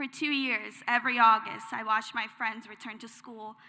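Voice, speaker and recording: Her tone bright and sharp, a woman speaks at a moderate pace with a fairly high pitch. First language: not English. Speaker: graduating student speaker. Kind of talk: commencement speech.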